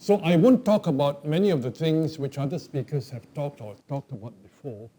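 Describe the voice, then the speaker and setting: A man speaks with a fairly high pitch, lively intonation and a somewhat breathy, dark, mellow tone. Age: old. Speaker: professor. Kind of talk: lecture. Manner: hesitant fillers (um, okay).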